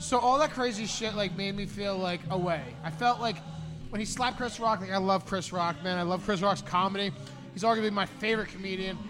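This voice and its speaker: Against noticeable background noise, a man talks at a fairly quick pace. His voice sits at a high pitch with ordinary pitch variation. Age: 40s. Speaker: podcast co-host. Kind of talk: casual chat. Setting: studio. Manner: animated.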